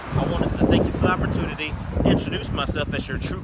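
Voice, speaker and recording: A man talks at a very fast pace while loud background noise plays. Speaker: car salesman. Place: street. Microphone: phone near.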